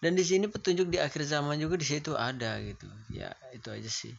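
A man speaks fairly quickly, and noticeable background noise can be heard behind him. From Indonesia. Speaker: YouTuber answering viewer questions. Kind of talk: casual Q&A monologue. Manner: halting, many fillers.

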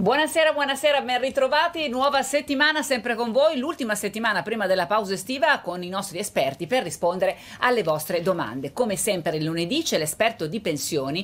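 A woman talks fairly quickly at a fairly high pitch. Her pitch swings very widely. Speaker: TV call-in show host. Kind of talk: live TV call-in show. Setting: TV studio. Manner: friendly, informal. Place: studio.

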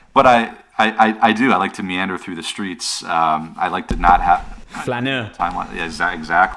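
A man's fairly low voice at a moderate pace, with big swings in loudness, ordinary pitch variation and light background noise. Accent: American. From United States. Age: 40s. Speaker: author and entrepreneur; guest. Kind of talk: casual interview. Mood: relaxed, friendly. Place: home room. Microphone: studio mic.

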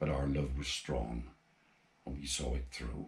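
A man speaks at a fairly slow pace with a Gloucestershire accent and a very deep, low pitch. His intonation stays fairly even, and his voice is somewhat breathy. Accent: Forest of Dean. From England, Forest of Dean, Gloucestershire; England. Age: 80s+. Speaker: amateur poet. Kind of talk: poetry reading; personal introduction. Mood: tender, mournful. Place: home room.

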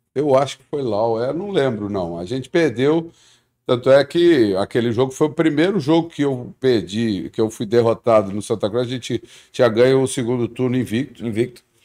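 A man speaks at a medium pitch in a dark, mellow tone, with lively intonation and big swings in loudness. The background is quiet. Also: moderate pace. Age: 50s. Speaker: football coach. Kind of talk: interview. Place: studio. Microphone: studio mic.

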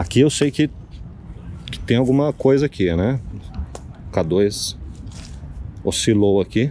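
Speaking at a very slow pace with long, frequent pauses, a man uses lively intonation in a dry recording with no echo and light background noise. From São Paulo, Brazil (Zona Leste); São Paulo, Brazil. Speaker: paranormal investigator youtuber. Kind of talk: paranormal investigation vlog. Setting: outdoors near a crematorium. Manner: animated. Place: forest. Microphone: phone near.

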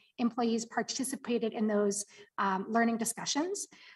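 A woman's ordinary speaking voice, fairly high in pitch, with fairly even intonation and light background noise. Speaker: city community development staff; presenter. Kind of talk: report presentation. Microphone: video call.

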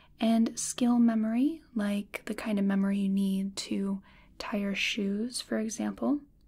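Soft-spoken and somewhat breathy, the voice has a dark, mellow tone, a fairly slow pace and ordinary pitch variation. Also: woman. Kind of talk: soft-spoken explanatory role-play. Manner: soft-spoken ASMR explaining voice.

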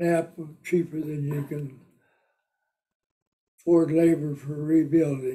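A man with a Midwestern American accent speaks very slowly at a fairly high pitch, in a dark, mellow tone and monotone, flat intonation. Long, frequent pauses fill his speech against a quiet background. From Britt, Iowa; Iowa. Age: 80s+. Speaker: war veteran and auto business owner; interviewee. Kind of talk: interview answer. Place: home room.

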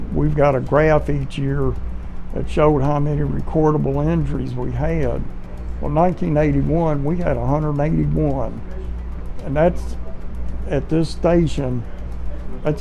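A man at a very slow pace, with long, frequent pauses and faint music in the background. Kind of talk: interview answer. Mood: proud, reflective. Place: office.

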